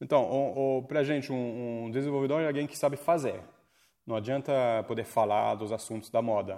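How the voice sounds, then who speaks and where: A man's dark, mellow tone at medium pitch and moderate pace. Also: ordinary pitch variation. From France. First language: French (speaking Portuguese). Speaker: coding school leader. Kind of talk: casual interview. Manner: halting.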